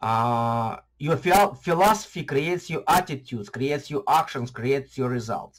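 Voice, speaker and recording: A somewhat breathy voice with a non-native accent, lively intonation and a fairly slow pace. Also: man. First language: not English. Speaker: YouTuber on online marketing. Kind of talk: casual vlog talk to camera. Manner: halting, many fillers and restarts.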